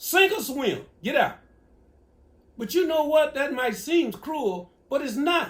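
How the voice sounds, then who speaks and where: A man's extremely high pitch, with an American accent and a fairly slow pace. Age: 70s. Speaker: elder giving advice. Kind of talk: casual Q&A.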